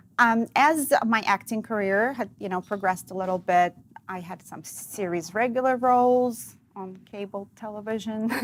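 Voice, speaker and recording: A moderate pace with hardly any pauses, a slight Russian accent, ordinary pitch variation and big swings in loudness. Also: woman, fairly high pitch for a woman. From Russia, Dzerzhinsk. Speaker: actress and comedian. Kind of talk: casual interview chat.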